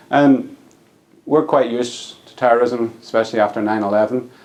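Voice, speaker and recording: With an American accent, a man speaks at medium pitch and a moderate pace, his pitch varying in an ordinary way. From Northern Ireland, Belfast. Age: 40s. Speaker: political science professor. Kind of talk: lecture.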